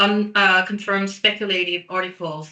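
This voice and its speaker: The speaker talks at a moderate pace with a Korean accent. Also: woman. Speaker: PR specialist. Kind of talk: webinar presentation. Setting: online webinar.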